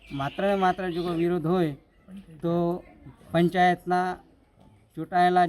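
Monotone and flat in intonation, a man talks at a high pitch. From Gujarat, India (Aravalli district village). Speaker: villager protesting. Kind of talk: news interview statement. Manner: halting, with frequent pauses.

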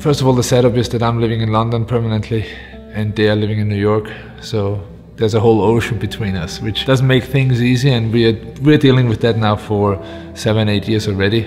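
Clear music sits in the background while the speaker goes at a very fast pace with fairly even intonation. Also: man. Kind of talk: interview answer. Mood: reflective, warm, some laughter. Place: home room. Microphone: lapel.

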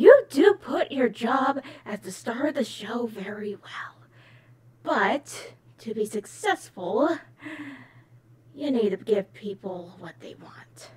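A female-sounding voice performs a put-on character voice at a fairly high pitch. The pace is fairly slow, with long, frequent pauses. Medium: dub. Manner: smug, condescending.

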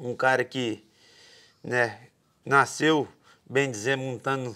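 Here a man speaks in a bright, sharp tone with monotone, flat intonation. His pace is fairly slow, and the background is quiet. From Brazil. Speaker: podcast host, bull rider; podcast host. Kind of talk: interview. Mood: relaxed, friendly. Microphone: lapel.

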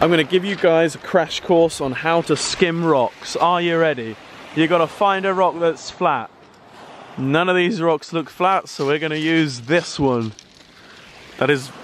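There is light background noise as a man speaks in a high pitch, the sound dry with no echo. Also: ordinary pitch variation, fairly slow pace. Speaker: vlogger. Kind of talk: casual vlog chat. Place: beach. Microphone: phone near.

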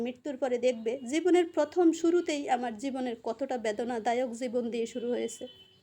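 This woman speaks with a high pitch and ordinary pitch variation. Her tone is dark and mellow. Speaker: cooking and family vlogger. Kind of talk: vlog narration.

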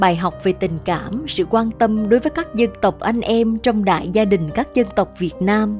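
Music plays behind a woman who speaks fairly slowly in a fairly high voice with lively intonation. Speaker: narrator of story videos and voice coach. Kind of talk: storytelling narration, historical anecdotes read aloud.

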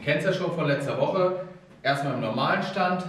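The man's voice carries an audible echo from the room. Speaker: fitness coach. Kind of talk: tutorial. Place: gym. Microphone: camera far.

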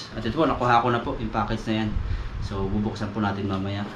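A man talks at a very fast pace in a fairly low pitch. Audible room echo and noticeable background noise surround him. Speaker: vlogger. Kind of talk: casual vlog narration. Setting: outdoors by a river.

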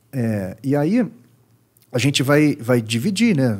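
A man is speaking here. His pace is fairly slow and his intonation lively. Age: 40s. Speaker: psychoanalyst. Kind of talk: casual chat. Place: studio. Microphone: studio mic.

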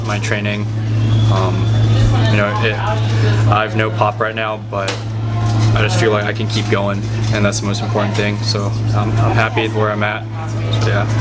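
Over clear music in the background, a man speaks at a moderate pace with long, frequent pauses. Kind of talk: interview answer. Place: hall.

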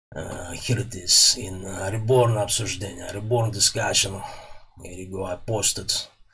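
A Russian accent at a moderate pace, with fairly even intonation. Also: man, fairly low pitch for a man. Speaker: electronics repair YouTuber. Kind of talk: tutorial. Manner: casual, hesitant with fillers. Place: workshop. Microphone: studio mic.

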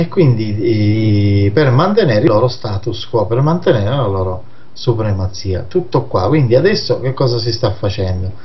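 A man with lively intonation keeps a moderate pace as noticeable background noise sounds around him. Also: medium pitch for a man. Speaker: magazine director and anti-mafia activist. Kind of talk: radio interview discussing politics.

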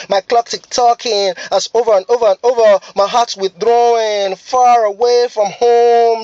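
In a Nigerian accent, a man with an extremely high pitch talks at a fairly slow pace in a flat monotone, the sound dry with no echo. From Lagos, Nigeria. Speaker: spoken word poet. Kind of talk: spoken word poetry performance. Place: car. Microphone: phone near.

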